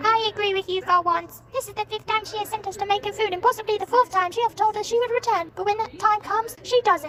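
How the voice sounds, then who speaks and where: A female-sounding voice in a put-on character, pitched extremely high, races along very fast with hardly any pauses. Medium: stage play.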